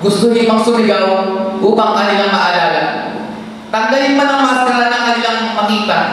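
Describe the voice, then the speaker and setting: Amid noticeable background noise and audible room echo, a high-pitched man talks fairly quickly with very even loudness and fairly even intonation. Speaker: seminarian. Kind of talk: spoken word poetry.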